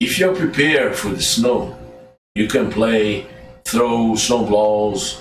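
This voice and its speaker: A man speaks at a very slow pace over music in the background, with audible room echo. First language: Portuguese. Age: 60s. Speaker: self-styled judge and commentator. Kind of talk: direct-to-camera monologue. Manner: halting.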